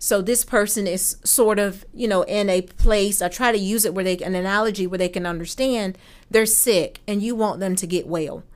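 A woman with an American accent and an unremarkable speaking voice talks at medium pitch and moderate pace, with fairly even intonation and hardly any pauses, on a very clean recording with a silent background. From Norfolk, Virginia. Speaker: victim advocate. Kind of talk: interview.

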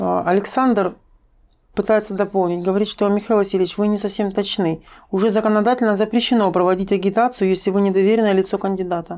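A woman speaks at a very fast pace in a medium-pitched, dark, mellow voice. Her intonation is flat and monotone, and her loudness stays very even. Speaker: stream host reading viewer questions. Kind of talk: interview, moderating questions. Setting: live online stream.

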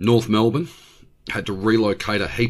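With an Australian accent, a man speaks at a fairly quick pace and a fairly low pitch. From regional Victoria, Australia. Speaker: YouTube channel host. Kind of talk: angry political rant about state government. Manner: exasperated, profane outbursts; blunt, indignant and scornful.

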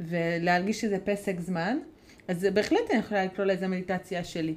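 A woman speaks with a Hungarian accent. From Hungary. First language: Hungarian (speaking Hebrew). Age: 30s. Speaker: podcast co-host, mother. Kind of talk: casual chat.

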